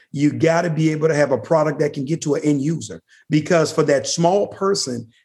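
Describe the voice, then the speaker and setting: The voice keeps a moderate pace and fairly even intonation. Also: man. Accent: American. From New Orleans, Louisiana. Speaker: company founder and CEO. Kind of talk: interview.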